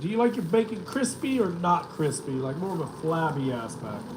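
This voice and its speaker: A high-pitched man's voice in an American accent, with very wide pitch swings, audible room echo and noticeable background noise. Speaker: vlogger. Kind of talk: live stream chat. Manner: casual, halting.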